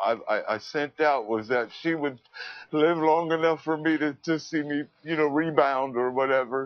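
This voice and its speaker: A man with an American accent and an unremarkable speaking voice, fairly high in pitch, moderately paced, with fairly even intonation. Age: 50s. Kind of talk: interview answer.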